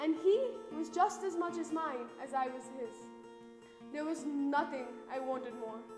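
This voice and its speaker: Over background music, a woman with a high pitch and lively intonation speaks at a fairly slow pace. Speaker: university student. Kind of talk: spoken word poetry performance.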